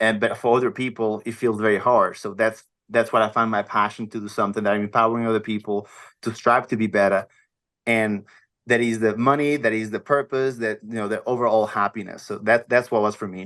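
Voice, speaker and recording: A man with a Portuguese accent speaks at a fairly quick pace in a flat monotone against a quiet background. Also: medium pitch for a man. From Portugal, small village. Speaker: health and wellness coach, former model. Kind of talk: podcast interview. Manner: halting.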